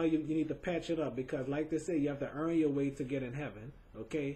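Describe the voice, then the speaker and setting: At a fairly quick pace, a man with a somewhat breathy, fairly high voice speaks in a fairly even intonation. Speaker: webcam show host. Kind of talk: video tribute monologue. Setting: home webcam recording. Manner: halting, repetitive.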